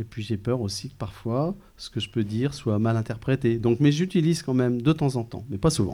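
Somewhat breathy voice with a dark, mellow tone, ordinary pitch variation and a fairly quick pace, on a very clean recording with a silent background. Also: man, medium pitch for a man. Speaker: school principal. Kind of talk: interview answers. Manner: hesitant.

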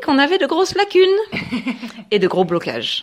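Moderate in pace, the speech moves steadily along. Its pitch rises and falls across a very wide range. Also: woman. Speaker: public speaking trainer. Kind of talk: radio interview. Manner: fluent.

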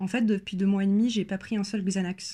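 A woman's dark, mellow, medium-pitched voice in a flat monotone, recorded very cleanly over a silent background. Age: 20s. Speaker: person sharing lived experience of panic disorder. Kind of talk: personal testimony. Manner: hesitant, many filler sounds.

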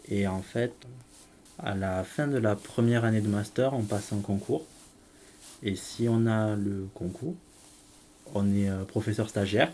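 At a very slow pace with long, frequent pauses, a man speaks in a dark, mellow tone at a fairly low pitch, with ordinary pitch variation. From southern France. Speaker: English teacher. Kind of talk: interview. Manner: hesitant.

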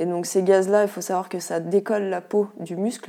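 A woman speaks at a medium pitch with a dark, mellow tone. Her intonation is monotone and flat. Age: 30s. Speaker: endometriosis patient sharing her experience. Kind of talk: interview testimony.

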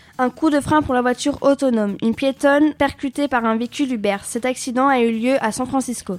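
The sound is dry and close, with no echo, as a woman speaks at a high pitch. She keeps a fairly quick pace with fairly even intonation. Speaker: radio news presenter. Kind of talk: newsreading. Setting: studio. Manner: formal; brisk, even-paced headline delivery.

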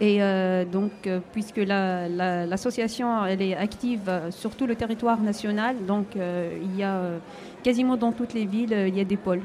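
Medium pitch from a woman, with noticeable background noise around her. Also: fairly even intonation, fairly slow pace. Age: 40s. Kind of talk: radio interview. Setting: live broadcast at an indoor market, audience present. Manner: hesitant.

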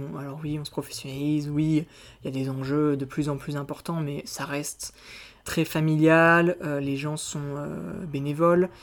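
Fairly slow and monotone, a man speaks with flat intonation at a fairly high pitch. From France, Auvergne. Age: 20s. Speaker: student and magazine co-founder. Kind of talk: interview. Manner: halting.

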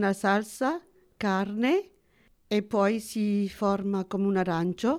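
A woman's medium-pitched voice with fairly even intonation, on a very clean recording with a silent background. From Sicily, moved to France as child. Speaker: retiree, cultural association member. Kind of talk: interview. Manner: halting.

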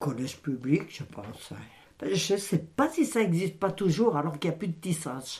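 A woman speaks at a moderate pace in a fairly low, somewhat breathy voice. Her pitch swings very widely. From France, Isère (Saint-Aupre area near Voiron). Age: 70s. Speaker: retired textile mill worker. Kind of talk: oral history interview. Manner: halting.

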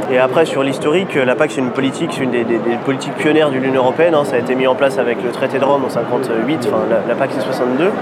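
In a room with audible echo and noticeable background noise, a man with a medium pitch talks at a very fast pace with fairly even intonation. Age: 30s. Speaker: dairy farmer and farm advocacy leader. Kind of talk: interview. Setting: agricultural fair.

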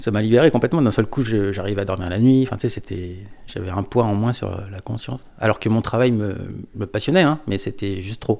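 A man with a normal speaking voice talks at a fairly quick pace, his pitch fairly low and its variation ordinary. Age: 40s. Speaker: record shop owner. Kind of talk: casual interview.

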